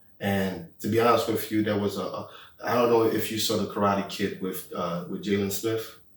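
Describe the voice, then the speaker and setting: In a room with audible echo, a man speaks at a moderate pace, his fairly low pitch showing ordinary variation. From Haiti, moved to the US as a child. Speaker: podcast co-host. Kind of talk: casual chat.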